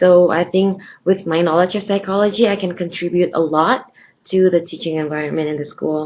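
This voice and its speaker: A woman with an American accent talks at a fairly quick pace in a fairly low voice with fairly even intonation. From Indonesia, Surabaya. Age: 20s. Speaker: English teacher. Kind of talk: video job application.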